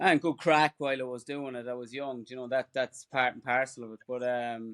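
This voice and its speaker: A man with an Irish accent, medium in pitch and monotone, flat in intonation, in a dry, close, very clean recording with a silent background. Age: 40s. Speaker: ultra runner. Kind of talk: casual chat.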